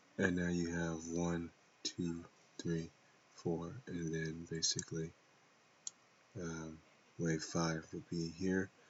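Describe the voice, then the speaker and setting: Soft-spoken and monotone, a man with a very deep, low voice speaks at a very slow pace with long, frequent pauses. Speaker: trader. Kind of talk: tutorial. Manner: halting.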